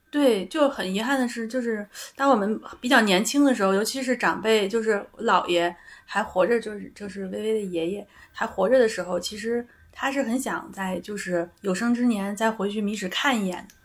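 At a moderate pace, a woman talks in a plain, everyday voice with a fairly high pitch and ordinary pitch variation. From Beijing. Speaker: psychological counselor. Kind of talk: casual chat.

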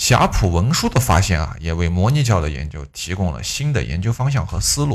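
Very deep and low with vocal fry, a man speaks with very wide pitch swings and hardly any pauses on a very clean recording with a silent background. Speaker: history podcaster. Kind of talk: history storytelling monologue. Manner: quiet; conversational, chatty.

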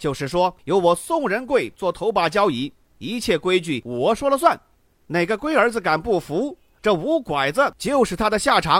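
Using a put-on character voice, a man speaks loudly at a moderate pace, his high pitch making big swings and his tone fairly bright.

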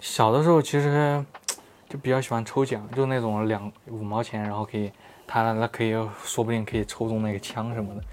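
Over noticeable background noise, a man speaks at a fairly quick pace and medium pitch with fairly even intonation. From Xinjiang, later Chongqing. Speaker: photography blogger. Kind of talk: casual chat.

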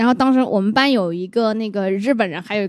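Speaking at a fairly quick pace, a woman has an unremarkable speaking voice, fairly high pitch and ordinary pitch variation. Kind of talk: casual chat.

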